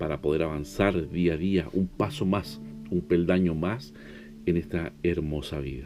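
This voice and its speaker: The speech moves at a fairly slow pace with fairly even intonation. Music plays in the background. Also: man, very deep, low pitch for a man. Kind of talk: devotional sermon.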